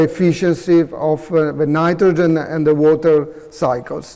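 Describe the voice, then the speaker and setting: Against noticeable background noise, a man speaks fairly slowly in a high, monotone, flat voice. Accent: Italian. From Italy, Veneto region. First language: Italian. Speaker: professor. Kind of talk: conference presentation and Q&A. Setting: conference room with audience. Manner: halting, many fillers.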